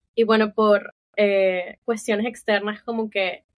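In a flat, monotone delivery, a woman talks with a medium-pitched voice. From Barranquilla, Colombia. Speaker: podcast guest, host's sibling. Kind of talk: casual family conversation.

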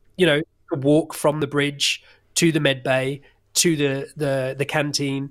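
Over a silent background on a very clean recording, a man with an English accent speaks in a flat monotone. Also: fairly high pitch for a man, fairly slow pace. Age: 30s. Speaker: actor. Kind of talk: interview.

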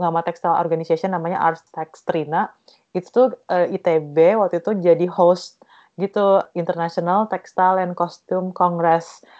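A woman speaks with monotone, flat intonation. Her pitch is fairly low, and her pace is fairly slow. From East Java, Indonesia. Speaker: textile design researcher. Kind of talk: interview.

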